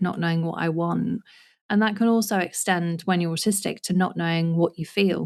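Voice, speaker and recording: A woman's fairly low-pitched, ordinary speaking voice, fairly even in intonation and moderate in pace. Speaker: podcast host. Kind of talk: interview question.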